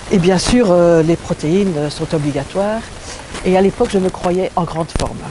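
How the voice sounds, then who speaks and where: Ordinary pitch variation at a moderate pace, noticeable background noise behind it. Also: woman, fairly low pitch for a woman. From Belgium. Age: 60s. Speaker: testimony giver at a health retreat. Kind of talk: testimony. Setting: retreat venue in southern France.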